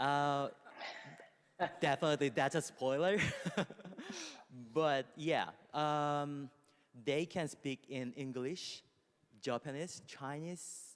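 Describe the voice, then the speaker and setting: A man with a Korean accent speaks at a very slow pace with long, frequent pauses. His voice is fairly high-pitched and his intonation fairly even. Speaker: music company executive. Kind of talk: panel discussion. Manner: halting, with many fillers.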